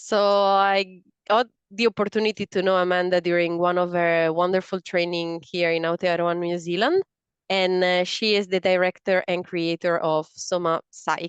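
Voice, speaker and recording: Against a quiet background, a woman speaks in an Italian accent. Her pace is moderate and her intonation flat and monotone. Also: medium pitch for a woman, dry, close sound with no echo. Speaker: podcast host. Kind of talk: interview. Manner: halting, with fillers.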